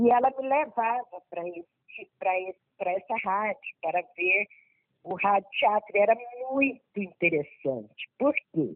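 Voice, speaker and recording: Speaking at a very slow pace, a woman uses a medium-pitched voice. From Brazil, Goiás (Anápolis). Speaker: theatre teacher and actress. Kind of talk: interview.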